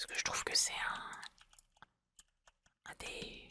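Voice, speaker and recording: A woman whispers. Her pace is very slow. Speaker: ASMR gaming content creator. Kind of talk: casual gameplay commentary to camera. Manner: soft-spoken, hesitant, thoughtful.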